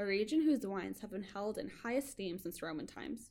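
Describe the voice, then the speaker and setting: Here is a woman with a normal speaking voice at a medium pitch. She moves at a moderate pace with lively intonation. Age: 20s. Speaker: podcast host. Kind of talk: casual chat.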